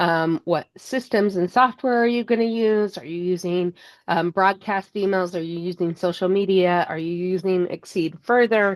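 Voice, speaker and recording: With a plain, everyday voice, a woman talks at a medium pitch and moderate pace, showing ordinary pitch variation and hardly any pauses over a quiet background. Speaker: fundraising consultant. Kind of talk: webinar presentation. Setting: online webinar.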